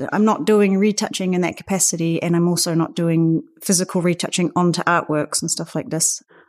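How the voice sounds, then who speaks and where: In a New Zealand accent, a woman with a fairly low pitch talks at a fairly quick pace with hardly any pauses and fairly even intonation, on a very clean recording with a silent background. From New Zealand, Auckland. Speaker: photographer and artist. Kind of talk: interview. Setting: in-person recording.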